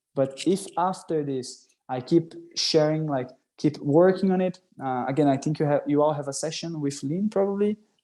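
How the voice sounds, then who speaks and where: In a Portuguese accent, the speaker uses a dark, mellow tone at a moderate pace with ordinary pitch variation over a quiet background. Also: man, fairly high pitch for a man. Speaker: workshop presenter, scout youtuber. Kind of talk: online workshop. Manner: casual, hesitant with fillers.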